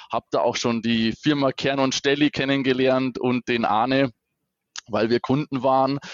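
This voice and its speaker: Fairly slow and medium in pitch, a man speaks in a normal speaking voice. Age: 30s. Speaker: regional sales manager. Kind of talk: casual interview.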